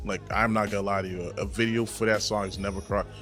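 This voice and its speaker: Music plays behind a man with an American accent. He talks at a very fast pace with ordinary pitch variation. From Brockton, Massachusetts. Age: young. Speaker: rapper. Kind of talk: interview answer.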